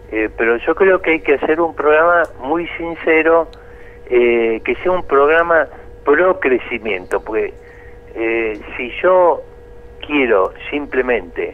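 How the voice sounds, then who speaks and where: A man talks at a very slow pace, with noticeable background noise around him. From Argentina. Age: 70s. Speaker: economist. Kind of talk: interview.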